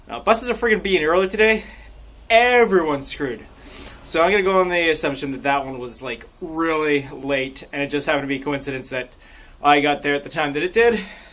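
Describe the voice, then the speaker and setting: In a Canadian accent, a man with a fairly high pitch speaks at a very fast pace with lively intonation. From Canada. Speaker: vlogger. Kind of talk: casual vlog monologue. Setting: outdoors at a bus stop in snow. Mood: wry, exasperated humour. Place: street. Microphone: phone near.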